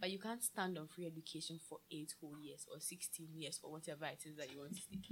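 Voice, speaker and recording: A woman with a very deep, low voice speaks very fast and somewhat breathily, with ordinary pitch variation. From Ghana. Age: 20s. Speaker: drinks seller. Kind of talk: casual chat.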